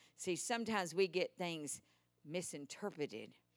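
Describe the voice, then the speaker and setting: A woman speaks with a Texan accent and a lively, bouncing intonation. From Texas. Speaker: preacher. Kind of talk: sermon. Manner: animated.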